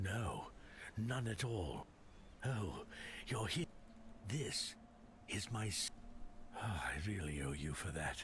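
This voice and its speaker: A man in a put-on character voice speaks at a fairly slow pace with a fairly low pitch, leaving long, frequent pauses over clear background noise. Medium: video game.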